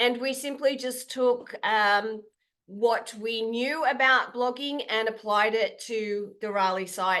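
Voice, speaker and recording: Talking at a very slow pace, a woman uses an Australian accent and a bright, sharp tone. Her pitch is fairly high, with fairly even intonation. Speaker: content creator. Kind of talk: webinar presentation. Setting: online call.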